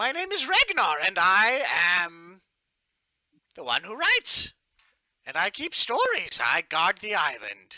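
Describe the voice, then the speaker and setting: A man puts on a character voice pitched extremely high. He speaks fairly slowly, with long, frequent pauses. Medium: actual play. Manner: friendly, rambling.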